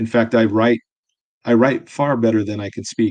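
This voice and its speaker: In a dry, close sound with no echo, a man speaks with a dark, mellow tone and monotone, flat intonation. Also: quiet background. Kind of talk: casual livestream chat. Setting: livestream at desk. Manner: halting, many fillers.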